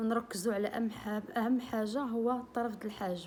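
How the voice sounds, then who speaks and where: The speaker's voice is somewhat breathy, with fairly even intonation and a fairly slow pace. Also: woman. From Morocco. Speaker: beauty and cooking vlogger. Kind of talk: tutorial. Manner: casual, friendly.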